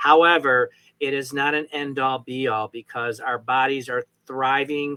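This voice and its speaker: A man's fairly high, bright, sharp voice at a fairly slow pace, in a dry, close sound with no echo. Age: 60s. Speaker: talk show host. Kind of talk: interview.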